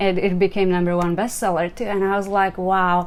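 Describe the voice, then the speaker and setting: This is a woman speaking. She has a Czech accent. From Czech Republic. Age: 40s. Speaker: life coach. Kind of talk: motivational talk. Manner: casual, conversational.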